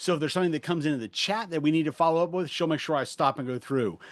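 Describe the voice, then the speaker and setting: A man speaks with lively intonation and a fairly high pitch. The background is quiet. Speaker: fundraising trainer. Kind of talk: webinar presentation. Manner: fast.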